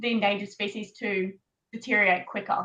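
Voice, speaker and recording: This woman has a bright, sharp tone and an Australian accent. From Queensland, Australia. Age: 20s. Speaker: pageant contestant. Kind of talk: panel discussion.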